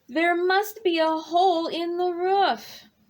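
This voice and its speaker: A woman does a put-on character voice at an extremely high pitch. She keeps a fairly even intonation and a fairly slow pace. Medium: read story. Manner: gentle, soft-spoken.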